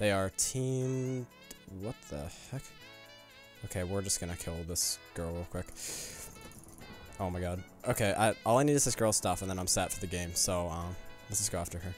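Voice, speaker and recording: Against faint music in the background, a man with a very deep, low pitch speaks with ordinary pitch variation and long, frequent pauses, in a dry sound with no echo. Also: moderate pace. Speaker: gaming YouTuber. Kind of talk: gameplay commentary. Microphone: studio mic.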